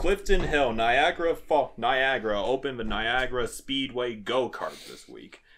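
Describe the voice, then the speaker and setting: Using an ordinary speaking voice, a man speaks at a moderate pace with a fairly high pitch and ordinary pitch variation. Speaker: YouTuber and podcast host. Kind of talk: casual chat.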